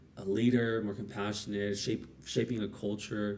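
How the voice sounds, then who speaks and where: A man speaks at a moderate pace with a non-native accent. His pitch is fairly low. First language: not English. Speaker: streamer building a service business. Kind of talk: livestream thinking aloud. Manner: halting, many repetitions.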